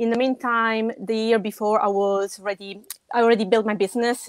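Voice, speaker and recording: A woman with a strong Italian accent and a fairly high pitch talks at a moderate pace in a monotone, flat delivery, the sound dry and close with no echo. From Italy. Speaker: web designer. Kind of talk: podcast interview. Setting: live video stream.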